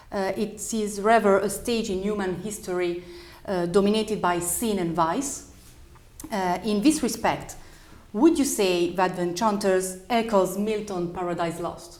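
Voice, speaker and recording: A woman with an Italian accent at a medium pitch, fairly slow pace and ordinary pitch variation, with audible room echo. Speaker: festival interviewer. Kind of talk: interview. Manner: halting.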